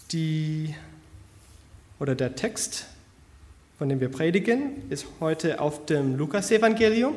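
A man's fairly high-pitched voice at a very slow pace, with lively intonation, long, frequent pauses and audible room echo. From US, Connecticut. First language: English (speaking German). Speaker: church planter, graduate student. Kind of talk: church introduction and scripture reading. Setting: church service.

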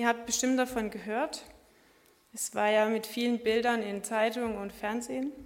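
Monotone and flat in intonation, a woman with a fairly high voice speaks at a moderate pace. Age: 20s. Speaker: lay preacher. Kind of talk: sermon. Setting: church service.

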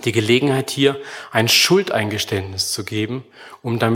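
The pitch shifts by an ordinary amount as a natural reading voice goes on.

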